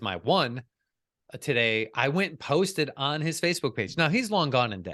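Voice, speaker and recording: With an American accent, a man speaks in a bright, sharp tone with lively intonation against a quiet background. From Chicago. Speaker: podcast guest, business coach. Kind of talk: casual interview chat. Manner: fast; confident.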